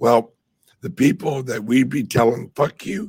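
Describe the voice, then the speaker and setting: Somewhat breathy, a man at a medium pitch talks at a fairly slow pace with lively intonation. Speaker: crypto livestream host. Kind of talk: casual livestream chat. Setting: live stream with microphone.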